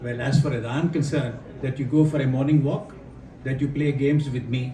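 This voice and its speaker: A fairly high-pitched man at a fairly quick pace, monotone and flat in intonation, with audible room echo. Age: 70s. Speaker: retired army general and education speaker. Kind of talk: workshop talk. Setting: hotel workshop with audience. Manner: interactive, questions to audience.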